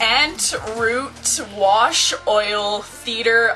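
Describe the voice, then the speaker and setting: Speaking with a Quebec accent over background music, a woman uses a fairly high pitch. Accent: English-speaking Quebec Canadian. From Quebec, Canada. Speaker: vlogger. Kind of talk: casual talk to camera. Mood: playful, giggly. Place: home room. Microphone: webcam.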